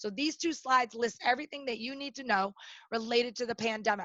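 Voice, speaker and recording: Very fast, loud speech in a bright, sharp tone, with ordinary pitch variation and a dry, close sound with no echo. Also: woman. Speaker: workplace safety trainer. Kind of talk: webinar presentation. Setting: online webinar.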